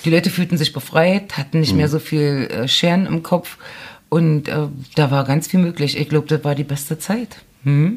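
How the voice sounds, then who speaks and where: A woman with a very deep, low pitch and a somewhat breathy voice talks at a moderate pace with ordinary pitch variation. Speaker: journalist and author. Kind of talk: casual interview chat.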